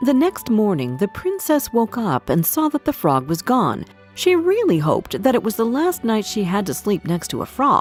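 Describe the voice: Medium-pitched woman's voice with big pitch swings at a moderate pace, faint music in the background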